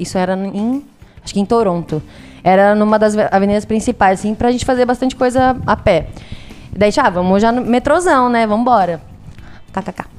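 Using a slight São Paulo interior accent, a woman talks at a fairly quick pace with long, frequent pauses, her fairly high pitch showing ordinary variation. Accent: Piracicaba caipira accent, slight. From Brazil, Piracicaba (São Paulo interior). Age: 20s. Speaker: travel podcast guest. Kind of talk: casual chat.

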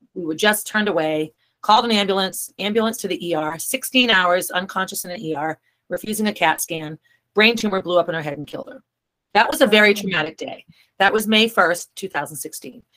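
This ordinary speaking voice comes in an American accent with lively intonation at a fairly quick pace. Its loudness swings in big ways. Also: woman, medium pitch for a woman. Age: 50s. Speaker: author and brain tumor survivor. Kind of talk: interview.

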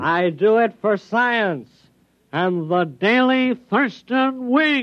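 A man's nasal, put-on character voice, high in pitch and very slow in pace. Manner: holding nose.

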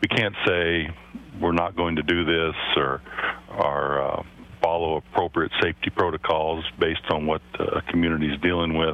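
Over noticeable background noise, a man with a very deep, low voice talks at a moderate pace with ordinary pitch variation. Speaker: state high school athletics commissioner. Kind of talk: radio interview.

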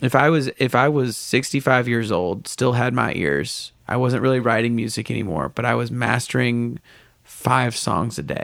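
A man talks at a moderate pace with a medium pitch and ordinary pitch variation. His voice has some vocal fry. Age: 20s. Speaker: touring musician. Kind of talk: casual chat.

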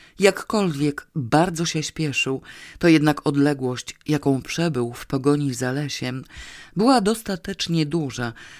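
Captured in a very clean recording with a silent background, the voice moves at a fairly slow pace. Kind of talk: audiobook reading of a comic novel, narration with dialogue.

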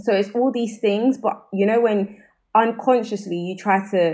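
A woman's medium-pitched voice, with fairly even intonation, comes through on a very clean recording with a silent background. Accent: South London. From South London, England. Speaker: podcast host. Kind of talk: casual chat.

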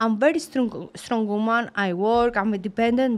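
A woman with a Greek accent and a high-pitched voice, on a very clean recording with a silent background. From Greece, Sparta. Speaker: professional boxer. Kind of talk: interview.

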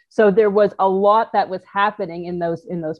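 At a moderate pace, a woman with medium pitch speaks in an unremarkable speaking voice with ordinary pitch variation. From Canada, Toronto. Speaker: motorcycle adventurer and entrepreneur. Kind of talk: interview storytelling. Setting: video call.

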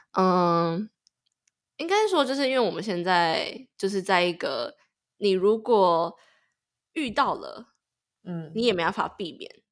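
A woman with a medium pitch speaks at a fairly slow pace with lively intonation. She takes long, frequent pauses, and the recording is very clean with a silent background. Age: 20s. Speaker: podcast co-host, master's graduate. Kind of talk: casual chat.

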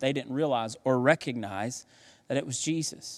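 A man talks in an ordinary speaking voice with a fairly high pitch and ordinary pitch variation. He keeps a moderate pace on a very clean recording with a silent background. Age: 30s. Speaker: pastor. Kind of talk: sermon.

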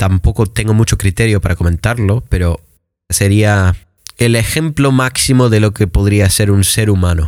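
Recorded very cleanly with a silent background, this man's fairly low voice moves at a moderate pace with ordinary pitch variation and very even loudness. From Michigan, US. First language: English (speaking Spanish). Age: 20s. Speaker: English teacher. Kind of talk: casual chat.

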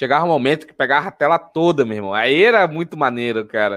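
A man's animated voice, very fast pace and lively intonation. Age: 20s. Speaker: podcast host about anime. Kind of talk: casual chat.

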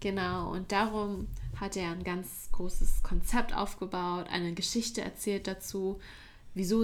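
A woman speaks with monotone, flat intonation. Audible room echo surrounds her voice. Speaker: university student. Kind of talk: casual chat. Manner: occasional slips, more used to English.

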